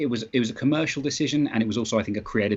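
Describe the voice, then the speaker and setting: A man talks very fast in a British accent. His medium-pitched voice has ordinary pitch variation. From Britain. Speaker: comic book writer. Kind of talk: interview. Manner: halting, many fillers and restarts.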